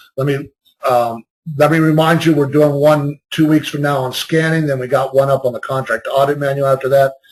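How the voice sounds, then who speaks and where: Somewhat breathy, a man speaks at a fairly quick pace in a fairly high pitch. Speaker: compliance consultant giving a webinar. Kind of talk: webinar presentation. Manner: fast.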